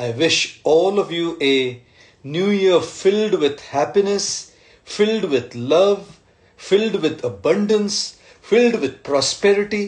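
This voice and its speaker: Speaking at a very slow pace, a man uses a high pitch and lively intonation against a quiet background. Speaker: speaker. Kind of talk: live-stream address to followers. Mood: warm, grateful, festive. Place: home room. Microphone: phone near.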